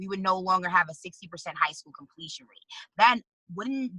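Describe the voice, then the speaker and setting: Dry and close with no echo, a woman's medium-pitched voice has a bright, sharp tone. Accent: New York. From New York City, the Bronx. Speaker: activist and congressional candidate. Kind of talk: interview.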